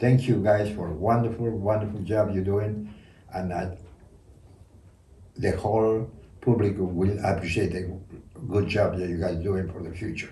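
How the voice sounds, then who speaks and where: Breathy at times and dark and mellow in tone, a man with a fairly low pitch speaks at a moderate pace with fairly even intonation and long, frequent pauses, with audible room echo. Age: 80s+. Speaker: dragon fruit hybridizer and hobby grower. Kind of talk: casual chat. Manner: halting.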